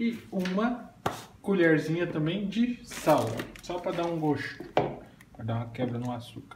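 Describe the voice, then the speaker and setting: Fairly slow speech from a man against loud background noise. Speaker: home cooking vlogger. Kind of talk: casual cooking tutorial. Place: kitchen. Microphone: phone near.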